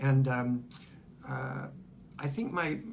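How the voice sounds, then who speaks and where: A man speaks at a medium pitch. Audible room echo colors the sound. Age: 60s. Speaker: retired pastor and cancer survivor. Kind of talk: testimony. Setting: infusion center. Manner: hesitant, many fillers.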